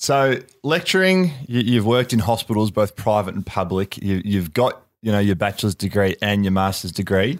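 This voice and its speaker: With an Australian accent, a man speaks at a very even loudness. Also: fairly low pitch for a man, ordinary pitch variation, moderate pace, very clean recording, silent background. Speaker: podcast host, former football player. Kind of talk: interview. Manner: halting, many fillers.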